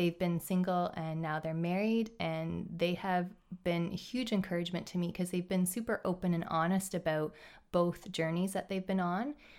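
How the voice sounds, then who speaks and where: A woman speaks with an unremarkable speaking voice, fairly low pitch and fairly even intonation at a moderate pace, in a very clean recording with a silent background. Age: 30s. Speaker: teacher. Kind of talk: casual chat.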